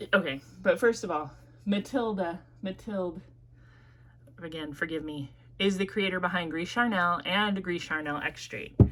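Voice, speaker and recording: In a Midwestern accent, a woman speaks at a moderate pace with ordinary pitch variation. Long, frequent pauses run through her speech. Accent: Midwest US. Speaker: perfume reviewer. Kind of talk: casual review vlog. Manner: casual, frequent fillers.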